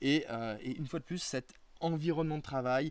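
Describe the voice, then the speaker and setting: A man talks at a moderate pace, varying his pitch in an ordinary way. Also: very clean recording, silent background. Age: 30s. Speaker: interviewee, small online entrepreneur. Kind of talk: casual interview, personal testimony. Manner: hesitant, many fillers and repetitions.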